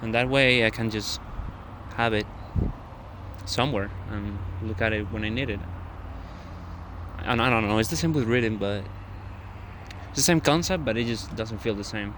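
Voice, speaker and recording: A man with a non-native accent at a medium pitch and moderate pace, ordinary pitch variation, long, frequent pauses and audible room echo. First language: not English. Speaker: vlogger. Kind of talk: casual monologue vlog. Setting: outdoors in a park at night. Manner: halting.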